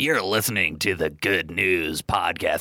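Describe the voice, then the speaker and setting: A man performs a put-on character voice. It sits at a very deep, low pitch with lively intonation. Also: moderate pace. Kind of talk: podcast announcer.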